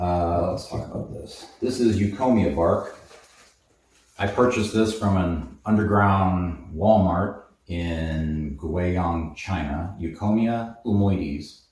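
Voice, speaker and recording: A man's very deep, low voice, somewhat breathy, at a very slow pace with ordinary pitch variation and audible room echo. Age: 80s+. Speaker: herbalist, supplement shop owner. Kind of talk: tutorial. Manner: casual, with filler words.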